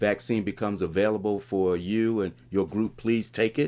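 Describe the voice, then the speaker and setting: In a very clean recording with a silent background, a man with an unremarkable speaking voice talks at a moderate pace, his fairly low pitch showing ordinary variation. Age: 60s. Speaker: pastor. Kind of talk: conversational interview.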